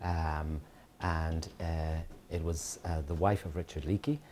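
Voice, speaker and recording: A man speaks at a very deep, low pitch with a dark, mellow tone that is somewhat breathy. His intonation is fairly even, with light background noise. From Kenya. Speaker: dermatologist giving a guest lecture. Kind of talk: lecture. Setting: lecture hall with audience. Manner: hesitant, many fillers. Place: classroom. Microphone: podium.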